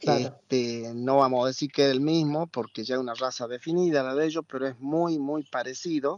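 A man with a plain, everyday voice at medium pitch, fairly quick and with hardly any pauses, his intonation fairly even. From Argentina. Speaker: ham producer. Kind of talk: interview.

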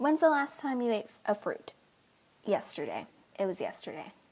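A woman speaks very fast in a high voice with lively intonation. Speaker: vlogger. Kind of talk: casual chat.

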